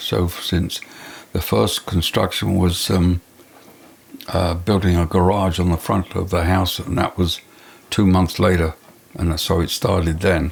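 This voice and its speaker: This man has an English accent and a very deep, low pitch. He speaks fairly slowly, with fairly even intonation and very even loudness. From England. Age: 80s+. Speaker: retired architect. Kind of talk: interview storytelling. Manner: halting with fillers.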